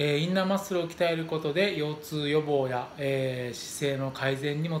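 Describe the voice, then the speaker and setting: Amid light background noise and audible room echo, a man speaks at a fairly quick pace with ordinary pitch variation. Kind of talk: tutorial. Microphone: phone near.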